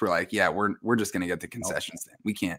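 A man with a fairly low pitch and ordinary pitch variation, an ordinary speaking voice, is speaking here. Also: quiet background. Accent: American. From New York, Westchester County; New York. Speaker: sports card podcaster and dealer; sports card podcaster. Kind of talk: casual chat. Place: home room. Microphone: webcam.

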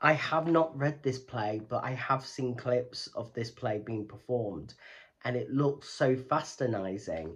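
A somewhat breathy voice at a fairly slow pace, with ordinary pitch variation. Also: man, medium pitch for a man. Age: 30s. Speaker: theatre YouTuber. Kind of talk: educational vlog. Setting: home recording, lights off. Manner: rambling, run-on delivery. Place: home room. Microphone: phone near.

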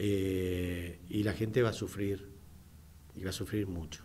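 With light background noise behind him, a man speaks at a fairly slow pace in a very deep, low pitch, somewhat breathy and dark, mellow in tone. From Argentina. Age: 60s. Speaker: radio host and business owner; radio host or guest. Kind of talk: radio talk show. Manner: halting, many fillers. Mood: earnest political opinion. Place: studio. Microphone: studio mic.

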